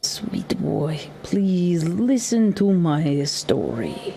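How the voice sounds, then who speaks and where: This is a put-on character voice, female-sounding and fairly low in pitch for a woman. The pace is very slow. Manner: gentle, pleading.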